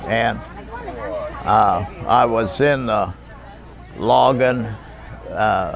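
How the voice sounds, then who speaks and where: In a Pacific Northwest accent, a man talks at a very slow pace with long, frequent pauses, while crowd noise and audible room echo surround him. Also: medium pitch for a man, ordinary pitch variation. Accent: rural Pacific Northwest American. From Washington State, Lewis County. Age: 90s. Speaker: retired logger. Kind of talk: oral history interview. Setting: family reunion. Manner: halting, many fillers.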